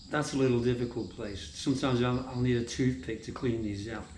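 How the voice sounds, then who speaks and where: This man speaks with a British accent at a medium pitch. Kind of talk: casual vlog talk to camera.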